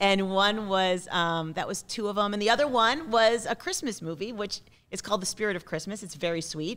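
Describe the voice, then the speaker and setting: Energetic in tone, a woman speaks fairly quickly at a medium pitch with ordinary pitch variation. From US Northeast (Massachusetts). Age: 40s. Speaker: film producer. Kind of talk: casual interview. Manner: laughs often. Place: studio. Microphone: studio mic.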